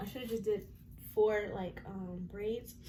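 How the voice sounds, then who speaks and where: A woman at a fairly quick pace, lively intonation, and audible room echo. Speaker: lifestyle vlogger. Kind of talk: casual vlog chat. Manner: fast; casual, chatty.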